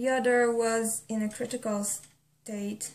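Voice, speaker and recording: A woman with a non-native accent, somewhat breathy, at a very slow pace with monotone, flat intonation. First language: not English. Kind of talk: casual talk to camera.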